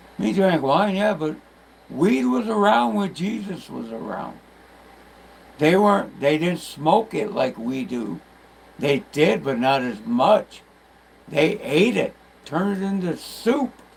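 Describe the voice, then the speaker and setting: A man's fairly high voice with very wide pitch swings, at a very slow pace full of long, frequent pauses, amid noticeable background noise. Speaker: livestreamer. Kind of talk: casual late-night livestream monologue. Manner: slurred.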